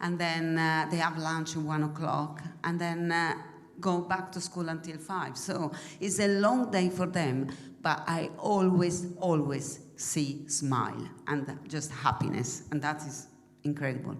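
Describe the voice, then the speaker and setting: A woman with a fairly low pitch and ordinary pitch variation, fairly slow pace, audible room echo and noticeable background noise. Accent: Italian. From Italy. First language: Italian. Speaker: mission trip member. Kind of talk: church presentation. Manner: halting.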